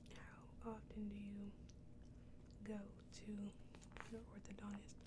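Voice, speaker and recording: A woman speaks at a very slow pace. Noticeable background noise runs underneath. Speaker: ASMR creator. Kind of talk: ASMR mukbang, casual talk to camera while eating. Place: home room. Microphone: studio mic.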